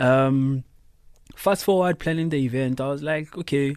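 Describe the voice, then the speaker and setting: A man speaks at a medium pitch with a South African accent. His pace is fairly slow. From South Africa, Thembisa. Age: 20s. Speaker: DJ and producer. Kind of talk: interview. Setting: studio.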